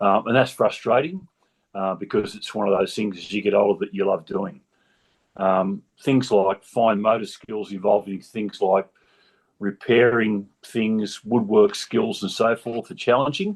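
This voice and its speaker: With an Australian accent, a man speaks at a fairly low pitch. His pace is fairly slow and his intonation fairly even. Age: 70s. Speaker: patient with optic neuropathy. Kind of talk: personal testimony in a video discussion. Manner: halting, many fillers.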